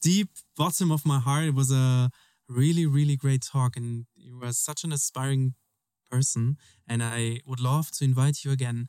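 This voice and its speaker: With a German accent, a man speaks at a moderate pace and a medium pitch, his intonation fairly even. His tone is dark and mellow, and the sound is dry and close with no echo. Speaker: podcast host. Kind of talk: casual interview chat. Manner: halting, searching for words in English.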